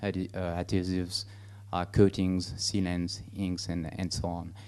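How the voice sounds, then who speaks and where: A dark, mellow tone in a French accent, monotone and flat, at a moderate pace. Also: man. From France. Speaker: business director presenting services. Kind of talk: conference presentation. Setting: conference stage. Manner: halting, many fillers.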